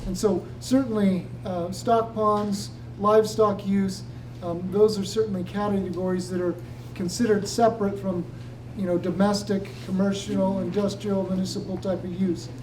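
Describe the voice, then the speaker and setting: Noticeable background noise accompanies moderately paced talking. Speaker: hydrologist presenter. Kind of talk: public meeting Q&A answer. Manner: hesitant, many fillers.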